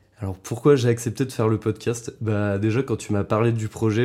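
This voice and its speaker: A man with a dark, mellow tone and a fairly low pitch. The recording is very clean, with a silent background. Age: 20s. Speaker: podcast guest, friend of host. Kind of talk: casual interview chat. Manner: hesitant, many fillers.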